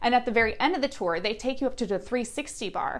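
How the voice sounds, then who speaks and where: A woman with an American accent on a very clean recording with a silent background. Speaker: travel vlogger. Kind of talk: casual travel review monologue. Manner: hesitant, many fillers.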